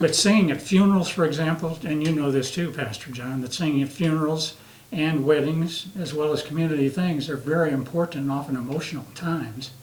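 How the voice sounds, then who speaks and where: A man with an American accent talks at a fairly high pitch and a fairly quick pace, his intonation fairly even. Audible room echo and noticeable background noise surround him. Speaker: retired Air Force veteran, singer. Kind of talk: interview. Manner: halting.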